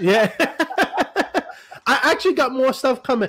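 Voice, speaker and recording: This is a man's voice. He speaks with an American accent. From New York City. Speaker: actor and entertainer. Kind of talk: interview answer. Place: home room.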